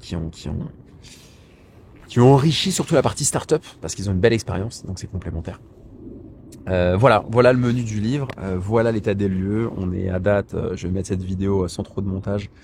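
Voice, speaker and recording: With a fairly quick pace but long, frequent pauses, a man speaks in a somewhat breathy, fairly low voice with ordinary pitch variation. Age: 30s. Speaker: author and personal finance YouTuber. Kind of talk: casual vlog monologue. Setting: outdoors in a park. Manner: hesitant, many fillers and repetitions.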